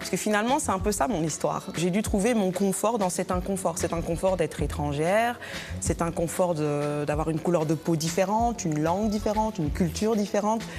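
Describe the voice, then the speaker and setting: Over music in the background, a woman talks at a fairly quick pace with a medium pitch and ordinary pitch variation. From Belgium. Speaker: choreographer and poet. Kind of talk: interview. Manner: hesitant, with fillers.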